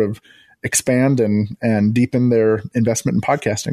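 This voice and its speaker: A man speaks at a moderate pace in a plain, everyday voice, with fairly even intonation. The sound is dry and close, with no echo. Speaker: podcast producer and former pastor. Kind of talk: radio interview.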